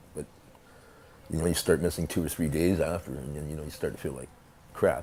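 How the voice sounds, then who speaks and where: Speaking at a very fast pace, a man's voice carries vocal fry. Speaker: shelter guest. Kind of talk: documentary interview. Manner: casual, halting.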